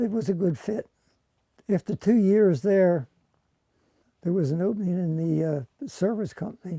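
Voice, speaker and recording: Dry, close sound with no echo, a dark, mellow tone, lively intonation and long, frequent pauses. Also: man. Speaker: retired microphone repair technician. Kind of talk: documentary interview. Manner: halting.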